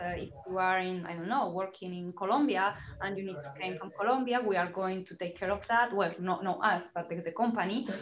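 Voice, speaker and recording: With noticeable background noise behind her, a woman speaks at a fairly quick pace with ordinary pitch variation. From Spain, Salamanca. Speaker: recruitment consultant. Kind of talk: webinar Q&A.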